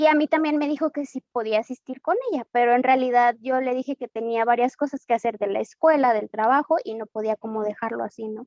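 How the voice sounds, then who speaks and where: A woman talks in a high pitch with ordinary pitch variation and hardly any pauses. The sound is dry and close, with no echo. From Mexico, Guadalajara, Jalisco. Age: 20s. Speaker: church member giving testimony. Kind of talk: testimony. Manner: hesitant, with frequent fillers.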